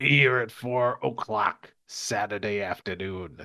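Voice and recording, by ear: A man's raspy, put-on character voice, fairly low in pitch and at a fairly slow pace.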